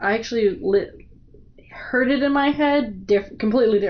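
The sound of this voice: A woman speaks at a moderate pace with a fairly high pitch. Her pitch varies in an ordinary way.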